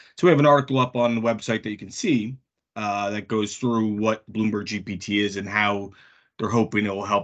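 Fairly even in intonation, a man with an unremarkable speaking voice talks at a moderate pace and a fairly low pitch. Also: quiet background. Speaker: podcast co-host. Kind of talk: casual podcast chat.

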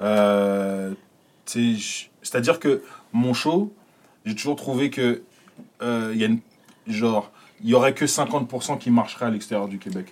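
A man speaks at a medium pitch with ordinary pitch variation. His pace is very slow, with long, frequent pauses. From France, Paris. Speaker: comedian. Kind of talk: casual chat. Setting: studio.

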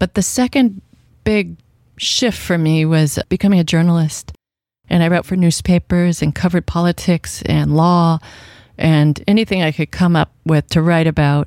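A woman with an American accent has an unremarkable speaking voice, a fairly low pitch with ordinary variation, and a moderate pace. Her loudness stays very even in a very clean, dry, close recording with no echo and a silent background. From Washington State, US. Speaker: novelist. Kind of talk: radio interview. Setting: radio studio.

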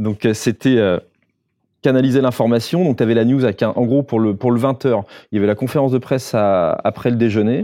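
A man speaks at a moderate pace in a dark, mellow tone. His loudness stays very even against a quiet background. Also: medium pitch for a man, fairly even intonation. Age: 40s. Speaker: photographer and filmmaker. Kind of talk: podcast interview, casual talk. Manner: hesitant, many fillers.

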